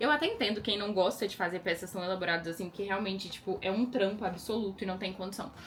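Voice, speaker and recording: Over noticeable background noise, a woman talks at a very fast pace in an animated tone, her medium pitch showing ordinary variation. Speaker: lingerie brand owner. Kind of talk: casual vlog.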